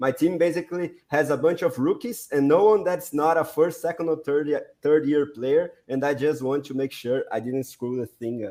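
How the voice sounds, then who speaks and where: With a Portuguese accent, this voice has a dark, mellow tone, a moderate pace, ordinary pitch variation and hardly any pauses. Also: man, fairly high pitch for a man. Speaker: podcast host. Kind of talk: casual chat, interview questions.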